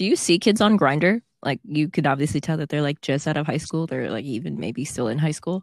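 At a fairly quick pace with hardly any pauses, a woman with a very deep, low pitch speaks with lively intonation, in a very clean recording with a silent background and a dry, close sound with no echo. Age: 20s. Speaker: podcast co-host. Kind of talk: casual chat.

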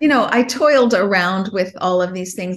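Speaking with an American accent, a woman has a medium pitch and vocal fry. Her pace is moderate and her pitch variation ordinary. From Chicago. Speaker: investment fund CEO. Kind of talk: casual interview.

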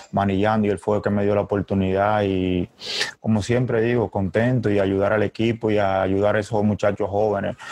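At a moderate pace, the talking comes out in a monotone, flat intonation. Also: man. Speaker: baseball player. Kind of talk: press conference.

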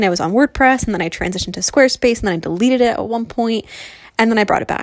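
Noticeable background noise sits behind this woman. She has a fairly high pitch and an American accent. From New Jersey, US. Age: 20s. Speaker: podcast host, blogger. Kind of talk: casual solo monologue. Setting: home recording in bedroom. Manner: free-flowing, many fillers.

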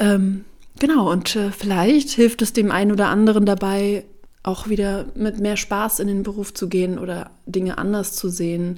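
This woman talks at a moderate pace with a medium pitch and fairly even intonation. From Bavaria, Germany. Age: 30s. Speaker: hairdresser and podcast host. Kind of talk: solo podcast monologue.

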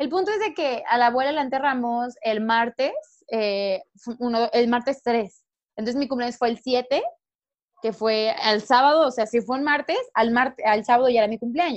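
A woman speaks at a high pitch with a Mexican accent. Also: ordinary pitch variation, moderate pace. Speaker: podcast co-host. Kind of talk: casual chat. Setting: video call.

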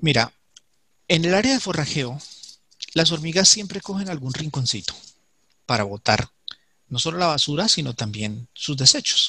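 A man's bright, sharp voice with very wide pitch swings, a moderate pace and long, frequent pauses. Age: 40s. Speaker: ant keeper and YouTube creator. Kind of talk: interview. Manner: halting, with repetitions.

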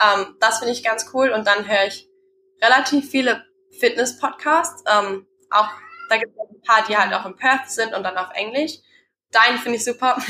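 Pitched fairly high, a woman speaks at a moderate pace in a bright, sharp tone, with ordinary pitch variation, big swings in loudness and long, frequent pauses. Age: 20s. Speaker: personal trainer and business founder. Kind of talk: casual interview.

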